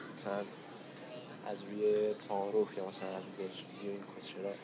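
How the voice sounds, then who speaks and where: Noticeable background noise sits behind a man's voice. He speaks at a fairly quick pace with a fairly low pitch. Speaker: podcast co-host. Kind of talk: casual chat. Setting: outdoors on a park bench.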